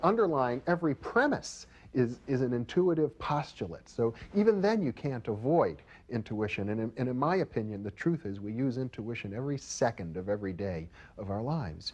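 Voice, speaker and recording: Over a quiet background, a man talks at a fairly quick pace. His pitch swings very widely. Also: medium pitch for a man. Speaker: parapsychology expert. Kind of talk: interview. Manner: fast.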